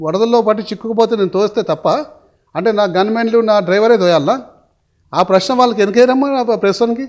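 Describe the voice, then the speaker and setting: High in pitch, a man talks with ordinary pitch variation and very even loudness. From Hyderabad, India. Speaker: politician. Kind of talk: interview. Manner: animated.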